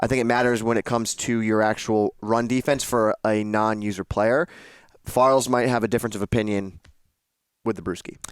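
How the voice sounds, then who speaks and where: A man with a Massachusetts accent speaks at a medium pitch and a fairly quick pace, with fairly even intonation and very even loudness. The recording is very clean with a silent background and sounds dry and close, with no echo. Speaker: video game podcast co-host. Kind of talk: casual gaming discussion.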